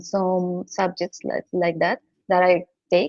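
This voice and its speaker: A woman speaks at a very slow pace. She talks with a Colombian accent. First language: Spanish. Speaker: data scientist. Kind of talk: interview. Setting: radio show. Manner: halting, frequent repetitions.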